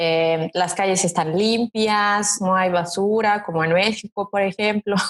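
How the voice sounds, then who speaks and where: In a Serbian accent, a woman speaks at a fairly slow pace and medium pitch, with fairly even intonation. Her loudness stays very even, and the sound is dry and close with no echo. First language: Serbian (speaking Spanish). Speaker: model, interview guest. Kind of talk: casual interview chat.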